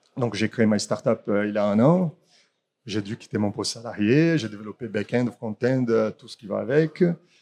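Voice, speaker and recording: At a moderate pace, a man with a Brazilian accent speaks in a dark, mellow, medium-pitched tone with ordinary pitch variation and big swings in loudness, heard with a dry, close sound, no echo and a quiet background. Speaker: startup founder. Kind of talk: startup pitch. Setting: in person, standing. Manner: halting.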